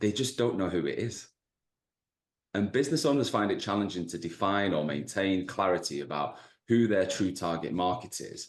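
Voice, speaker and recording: With a Mancunian accent, a man talks in a fairly low voice with lively intonation. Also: moderate pace. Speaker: business coach. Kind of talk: webinar presentation. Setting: video call. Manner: dry humor.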